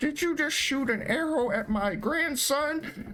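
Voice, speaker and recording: A put-on character voice, high-pitched, at a fairly slow pace over clear background noise. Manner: indignant.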